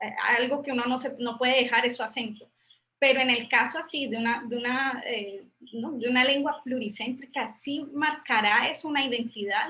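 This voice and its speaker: Her intonation is fairly even. This woman has a high pitch and a bright, sharp tone. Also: moderate pace. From Colombia, Popayán. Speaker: university professor, thesis examiner. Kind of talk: academic discussion, thesis defense feedback. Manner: halting, many repetitions and fillers.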